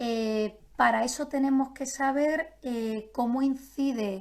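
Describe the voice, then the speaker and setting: A woman with a high voice and ordinary pitch movement, recorded very cleanly against a silent background. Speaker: nutritionist. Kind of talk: live-streamed health talk.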